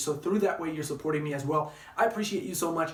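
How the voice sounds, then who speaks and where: Over noticeable background noise and audible room echo, a man with a fairly high pitch talks at a very fast pace with ordinary pitch variation. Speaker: travel vlogger. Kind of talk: casual vlog monologue.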